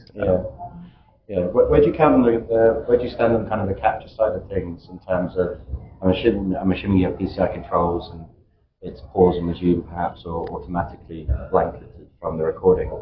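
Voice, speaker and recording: A man with a British accent talks at a fairly quick pace, his loudness swinging widely. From UK. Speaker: vendor representative on panel. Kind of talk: panel discussion.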